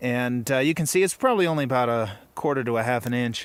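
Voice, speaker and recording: A man with a medium pitch talks at a fairly quick pace on a very clean recording with a silent background. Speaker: hunter and outdoor vlogger. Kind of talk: casual vlog narration. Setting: outdoors in mountains. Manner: hesitant with fillers; hushed, quiet voice.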